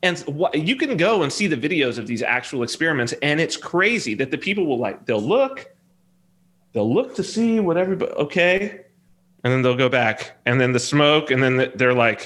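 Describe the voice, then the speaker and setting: Using very wide pitch swings, a man with a Californian accent speaks at a moderate pace. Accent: Californian American. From Southern California. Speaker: software developer and reality TV personality. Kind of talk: casual interview conversation.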